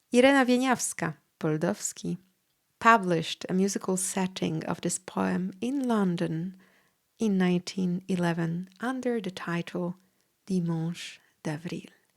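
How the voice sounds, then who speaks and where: Speaking at a fairly slow pace with a Polish accent, a woman uses a medium pitch and ordinary pitch variation on a very clean recording with a silent background. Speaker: podcast host and pianist. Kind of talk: educational podcast talk. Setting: home studio with piano.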